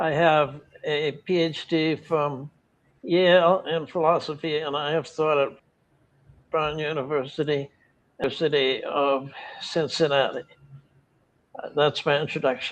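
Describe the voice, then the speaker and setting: The delivery has a fairly slow pace and long, frequent pauses. Intonation is monotone and flat, in an American accent. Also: man, fairly high pitch for a man. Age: 80s+. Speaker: retired philosophy professor. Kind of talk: interview. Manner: halting, many repeated words and fillers.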